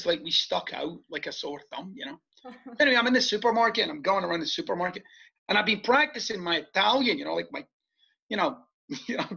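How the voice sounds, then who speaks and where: A man talks at a very fast pace and a high pitch, with very wide pitch swings. Long, frequent pauses break up his speech. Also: big swings in loudness. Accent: Scottish. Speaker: podcast guest, author. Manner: animated storyteller.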